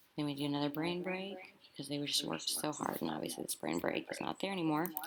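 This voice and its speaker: A woman's very deep, low pitch at a fairly quick pace, with noticeable background noise. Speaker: elementary school teacher. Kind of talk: tutorial. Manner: fast; animated.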